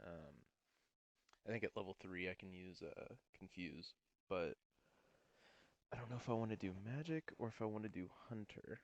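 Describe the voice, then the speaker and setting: A man's fairly low voice at a moderate pace, with ordinary pitch variation, long and frequent pauses, and a dry, close sound with no echo. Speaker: gaming youtuber. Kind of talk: gameplay commentary. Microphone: audio too quiet.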